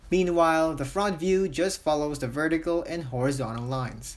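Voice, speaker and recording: Moderate-paced speech with music in the background. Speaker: art tutorial maker. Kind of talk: tutorial narration. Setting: low-quality home microphone.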